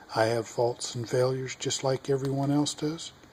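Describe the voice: A man with an American accent talks at medium pitch and a moderate pace. His intonation is fairly even and his tone slightly mellow.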